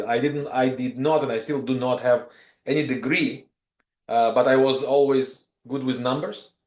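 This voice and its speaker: A man is speaking. His pace is fairly slow. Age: 40s. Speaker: professional trader and mentor. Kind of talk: podcast interview. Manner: hesitant, many fillers.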